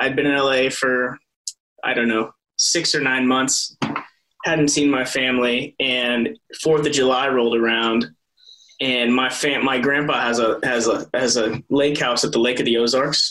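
With an American accent, a man talks at a fairly slow pace and medium pitch, his loudness very even and his intonation monotone and flat. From US Midwest, Iowa. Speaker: soap opera actor. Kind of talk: casual interview.

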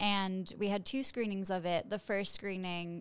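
A woman with an American accent and a medium pitch speaks at a moderate pace in a plain, everyday voice, recorded very cleanly against a silent background. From Chicago. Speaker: actress. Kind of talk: casual chat. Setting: studio.

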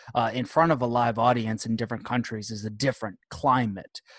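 Against a quiet background, a man with a US Northeastern accent talks at a medium pitch. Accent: US Northeast. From Rochester, New York. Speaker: professional wrestler. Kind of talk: casual chat. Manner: animated.

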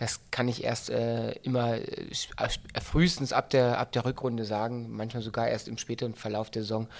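A man at a medium pitch with fairly even intonation, on a very clean recording with a silent background. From Berlin-Brandenburg. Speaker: football coach. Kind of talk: interview. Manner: hesitant with many fillers.

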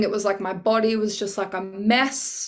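A woman's medium-pitched voice with an Australian accent and monotone, flat intonation. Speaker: singer and nurse. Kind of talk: casual chat. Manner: loud.

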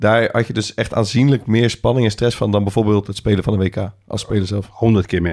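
A man talks at a fairly quick pace with hardly any pauses. His voice is fairly low, with fairly even intonation. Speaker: podcast co-host and football coach. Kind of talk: casual chat.

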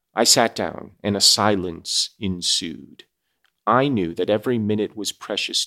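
Pitch shifts in an ordinary way during plain reading aloud. Nothing stirs in the background.

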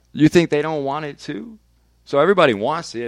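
Over a very clean recording with a silent background, a man speaks at a fairly quick pace with a Northern California accent. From Vallejo, California. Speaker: radio DJ. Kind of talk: casual chat. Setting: studio.

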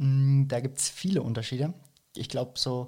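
A man speaks at medium pitch in a somewhat breathy voice. His intonation is monotone and flat, and his pace fairly slow. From Franconia, Germany (Nuremberg). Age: 20s. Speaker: fitness coach. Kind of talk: casual interview.

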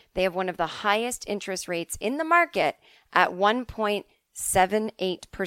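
A natural reading voice, with ordinary pitch variation, sounds over a quiet background.

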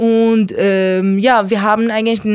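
A woman speaks with a fairly high pitch. Her intonation is monotone and flat. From Iran. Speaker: artist and activist. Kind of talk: interview. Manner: halting.

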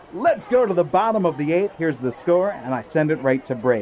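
An animated man's voice with very wide pitch swings over noticeable background noise. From Maryland, US. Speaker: minor league baseball broadcaster. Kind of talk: live baseball commentary. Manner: animated, rising, crisp play-by-play call.

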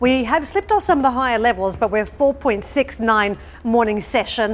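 This woman has a normal speaking voice, talking at a moderate pace with fairly even intonation. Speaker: business news anchor. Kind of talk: news reading. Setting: studio.

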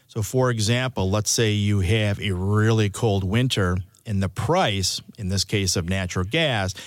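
A man with an American accent has a plain, everyday voice and a fairly low pitch. He speaks at a fairly slow pace with fairly even intonation, on a very clean recording with a silent background. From US Midwest, Chicago. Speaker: meteorologist. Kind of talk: interview.

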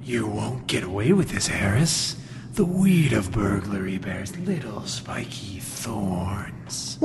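A man talks at a fairly slow pace in a fairly low pitch. Loud background noise is heard behind him. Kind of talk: 1940s radio hero. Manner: solemn, portentous.

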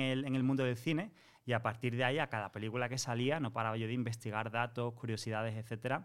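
Over a silent background in a very clean recording, a man talks at a very fast pace. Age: 30s. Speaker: Disney content creator. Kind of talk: casual chat.

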